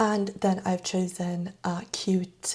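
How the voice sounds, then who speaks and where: Speaking at a very slow pace, a woman has a medium pitch. Her voice is somewhat breathy. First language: not English. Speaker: knitting YouTuber. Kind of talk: casual vlog talk about gift knitting patterns.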